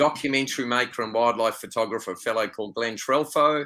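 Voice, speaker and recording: At a fairly quick pace, a man with an Australian accent talks in a medium pitch with a bright, sharp tone and fairly even intonation. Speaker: wildlife photographer and tour leader. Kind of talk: interview conversation.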